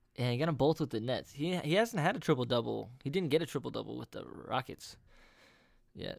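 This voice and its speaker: Over a silent background in a very clean recording, a man with vocal fry speaks at a fairly quick pace, with a fairly high pitch and lively intonation. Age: 20s. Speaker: sports podcast co-host. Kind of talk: casual chat.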